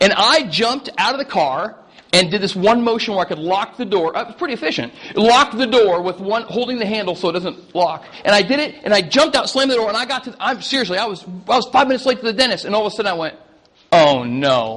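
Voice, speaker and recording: With an American accent, the speaker talks at a very fast pace with lively intonation amid noticeable background noise. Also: man. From Iowa, United States. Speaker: pastor. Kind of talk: casual sermon anecdote to an audience. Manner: chatty, humorous.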